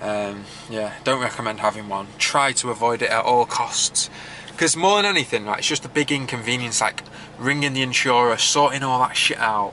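With ordinary pitch variation and a moderate pace, the voice comes through light background noise. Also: man. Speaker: vlogger. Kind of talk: casual vlog chat. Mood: mildly annoyed, chatty. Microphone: phone near.

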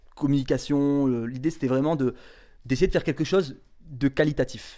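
A man speaks with a fairly high pitch against a quiet background. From northern France, Tourcoing; northern France. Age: 20s. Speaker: association founder; interviewee. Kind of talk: interview; interview answer. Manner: halting. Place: home room. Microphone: handheld.

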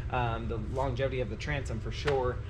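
Words come out very fast while noticeable noise fills the background. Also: man. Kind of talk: product walkthrough tutorial. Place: garage. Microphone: camera far.

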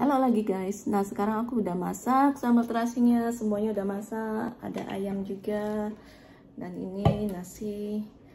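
Loud background noise fills the recording. Over it, a woman speaks at a fairly slow pace. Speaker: mukbang vlogger. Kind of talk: casual vlog chat. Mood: playful, nervous about spice. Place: home room. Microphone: phone near.

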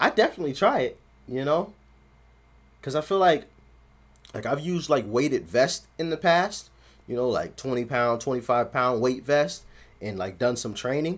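Speaking at a moderate pace, a man leaves long, frequent pauses. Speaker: reaction video host. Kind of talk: casual reaction commentary. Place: home room.

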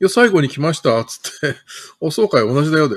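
A man at a very fast pace, his pitch swinging very widely, against a quiet background. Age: 50s. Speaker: city councillor. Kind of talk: political livestream commentary. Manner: casual, chatty. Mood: critical, indignant. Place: home room. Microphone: webcam.

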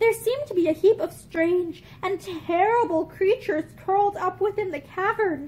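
With a gentle tone and an extremely high pitch, a woman speaks at a moderate pace. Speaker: video reader. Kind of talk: reading aloud a classic fairy-tale style story, storybook narration. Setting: video recorded at home with bookshelves. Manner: measured, gentle, old-fashioned storybook pacing. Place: home room. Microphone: phone near.

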